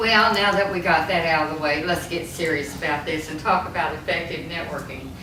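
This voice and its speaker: A woman speaks in a room with audible echo. Noticeable background noise is present. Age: 70s. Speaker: seminar presenter. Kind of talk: seminar talk.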